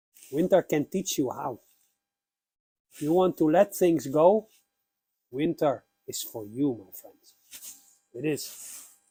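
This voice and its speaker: A man speaks quietly at a very slow pace, with long, frequent pauses and big swings in loudness. His pitch is fairly high and his tone dark and mellow, in a dry, close sound with no echo. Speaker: pagan YouTuber. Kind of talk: spiritual talk. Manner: slow, with pauses.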